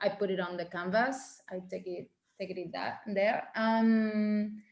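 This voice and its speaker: Very slow speech from a woman with a non-native accent, fairly high in pitch and fairly even in intonation. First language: Spanish. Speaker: painter. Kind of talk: interview. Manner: halting.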